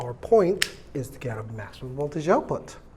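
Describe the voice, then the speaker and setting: A man talks at a moderate pace in a fairly high, somewhat breathy voice. Room echo can be heard. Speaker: electronics teacher. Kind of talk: lecture. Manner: casual, hesitant with fillers.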